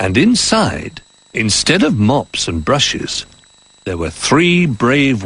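The clip consists of plain reading aloud.

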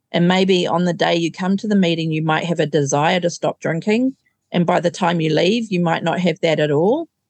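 A fairly low-pitched woman's voice in a New Zealand accent, fairly quick, with ordinary pitch variation and very even loudness. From New Zealand, Auckland. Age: 50s. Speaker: recovering alcoholic. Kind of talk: testimony.

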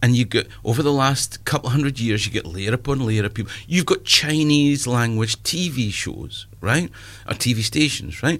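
With an eastern Scottish accent, a man talks at a moderate pace with medium pitch and ordinary pitch variation. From eastern Scotland, Perth. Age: 50s. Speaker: comedian. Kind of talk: casual chat.

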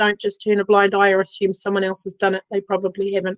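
A woman talks fairly quickly over background music, the sound dry and close with no echo. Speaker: community leader. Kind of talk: casual chat.

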